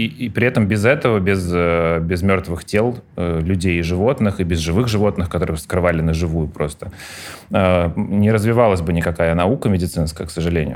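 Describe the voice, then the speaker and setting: A man's very deep, low voice at a very even loudness. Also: ordinary pitch variation, moderate pace. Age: 40s. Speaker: pediatrician. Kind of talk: casual chat.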